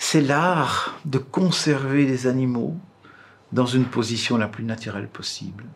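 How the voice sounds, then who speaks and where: Here a man speaks at a very slow pace with ordinary pitch variation. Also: medium pitch for a man. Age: 60s. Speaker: taxidermist. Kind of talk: interview; casual chat.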